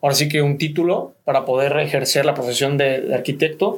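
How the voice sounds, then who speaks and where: Fairly high in pitch, a man uses a normal speaking voice with fairly even intonation. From Cancún, Mexico. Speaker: real estate businessman. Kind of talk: radio interview.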